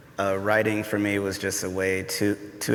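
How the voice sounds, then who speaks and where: Over noticeable background noise and audible room echo, a man with an American accent speaks at a fairly slow pace. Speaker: poet. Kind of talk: panel discussion. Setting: stage with audience. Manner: halting.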